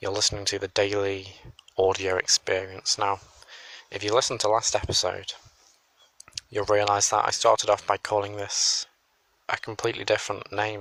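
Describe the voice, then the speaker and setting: With an English accent, a man speaks quietly at a moderate pace in a fairly low, bright, sharp voice, flat and monotone, with long, frequent pauses and a dry, close sound with no echo. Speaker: solo podcaster. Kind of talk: casual monologue. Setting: outdoors on a hill.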